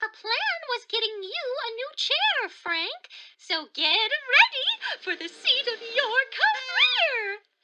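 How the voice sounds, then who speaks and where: In a put-on character voice, the speaker sounds squeaky and enthusiastic, going at a fairly slow pace with big swings in loudness. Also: woman, extremely high pitch for a woman. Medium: audio drama. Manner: bright, enthusiastic.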